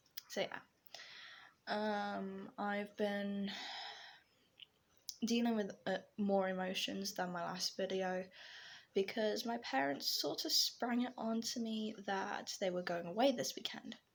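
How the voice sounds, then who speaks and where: A woman speaks at a very slow pace in an English accent. Her pitch sits at a medium level with ordinary variation. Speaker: vlogger and digital artist. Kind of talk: casual vlog monologue. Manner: hesitant, many fillers.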